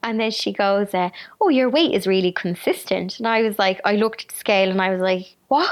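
A woman's medium-pitched voice in an Irish accent, at a fairly quick pace, with ordinary pitch variation and very even loudness. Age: 30s. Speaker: YouTuber and author. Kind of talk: casual interview chat.

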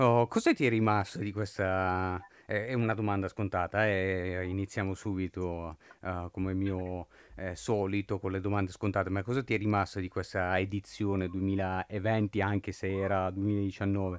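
A man speaks slowly at a fairly low pitch in a monotone, flat delivery. The sound is dry and close with no echo, on a very clean recording with a silent background. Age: 20s. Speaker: journalist and podcast host. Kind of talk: interview. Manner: halting.

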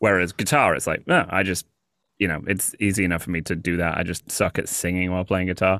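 A man with a British accent speaks very fast at a very deep, low pitch in a bright, sharp tone. His intonation is fairly even, and the recording is very clean with a silent background. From England. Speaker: comedian and freestyle rapper. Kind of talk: casual chat.

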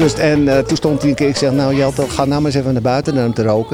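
Over noticeable background noise, a man talks at a very fast pace in a fairly high-pitched voice. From Netherlands, Amsterdam-Noord. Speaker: venue volunteer host. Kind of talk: casual interview chat.

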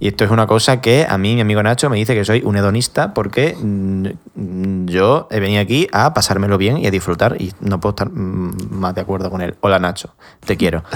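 Here is a man with an unremarkable speaking voice, pitched fairly low. He talks at a fairly quick pace with ordinary pitch variation. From Spain, Extremadura (village near Badajoz). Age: 20s. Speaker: podcast host. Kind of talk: casual chat.

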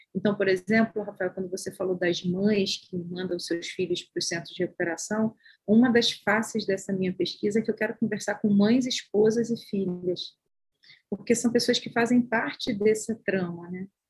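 A woman with a somewhat breathy, medium-pitched voice talks at a moderate pace, her intonation fairly even. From Baixada Fluminense, Rio de Janeiro, Brazil. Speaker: social sciences professor and researcher. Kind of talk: interview.

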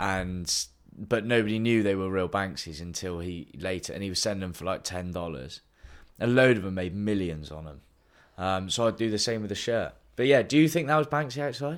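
A man with a Bristol accent and fairly low pitch speaks at a fairly quick pace with lively intonation and big swings in loudness, in a very clean recording with a silent background. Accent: West Country English (Bristolian). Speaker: podcast co-host. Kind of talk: casual chat between friends. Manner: chatty and laughing often.

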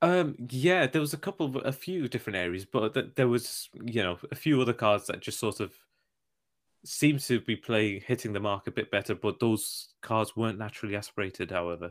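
Here a man with an unremarkable speaking voice talks at a fairly quick pace and medium pitch. His intonation is lively, and the recording is very clean with a silent background. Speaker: car podcast co-host. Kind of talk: casual banter. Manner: laughs often, chatty.

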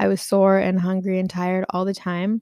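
A woman with an American accent, medium pitch and a dark, mellow tone at a moderate pace, on a very clean recording with a silent background and a dry, close sound free of echo. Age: 20s. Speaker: podcast host. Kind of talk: casual monologue.

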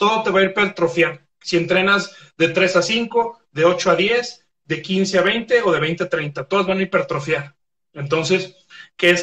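A man's voice sits high in pitch, with a bright, sharp tone. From Mexico, Guadalajara. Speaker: sports medicine doctor. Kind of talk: casual interview on a live stream.

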